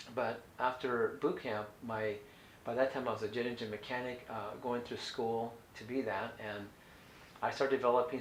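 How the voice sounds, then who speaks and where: Amid noticeable background noise and audible room echo, a man speaks at medium pitch with fairly even intonation. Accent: American. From California. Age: 60s. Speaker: raw food diet coach. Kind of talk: instructional talk. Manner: halting.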